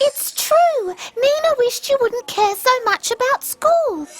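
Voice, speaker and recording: A squeaky, female-sounding cartoonish character voice talks at a fairly slow pace with extremely high pitch. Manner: chirpy, eager.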